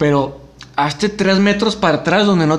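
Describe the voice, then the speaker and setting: A man speaks at a moderate pace in a high pitch with ordinary pitch variation. Noticeable background noise is present. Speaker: podcast host. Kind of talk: casual chat.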